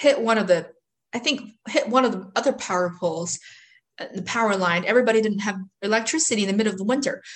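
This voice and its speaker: Against a quiet background, a woman with a Chinese accent talks at a fairly quick pace in a somewhat breathy voice with ordinary pitch variation. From China. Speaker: mobile home park investor. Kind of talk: interview.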